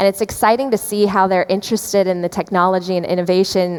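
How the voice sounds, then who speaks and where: Over noticeable background noise, a woman with an American accent talks at a very fast pace and a medium pitch. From US Midwest, Chicago area. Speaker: podcast host and journalist. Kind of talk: interview. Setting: stage at an event.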